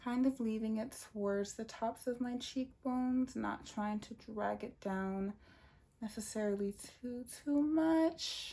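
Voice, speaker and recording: A soft-spoken woman talks at a fairly slow pace with ordinary pitch variation. Her tone is dark and mellow. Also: fairly high pitch for a woman. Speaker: beauty vlogger. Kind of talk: makeup tutorial. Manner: casual.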